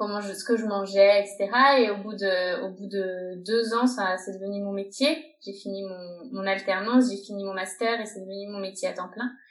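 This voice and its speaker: Noticeable background noise accompanies a woman whose fairly even intonation holds across a moderate pace. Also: medium pitch for a woman, big swings in loudness. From France. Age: 30s. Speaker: health coach and yoga teacher. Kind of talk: interview.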